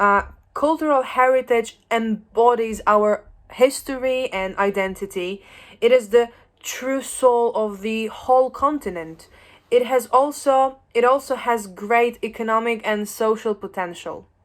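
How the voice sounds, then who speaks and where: Someone with a Polish accent talks at a fairly slow pace with ordinary pitch variation. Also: woman, fairly high pitch for a woman. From Poland. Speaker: educator. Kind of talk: lecture. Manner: halting.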